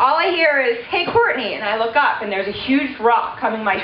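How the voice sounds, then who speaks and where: Loud speech with lively intonation rings with audible room echo amid noticeable background noise. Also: woman. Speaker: maid of honor. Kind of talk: wedding toast. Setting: wedding reception with audience.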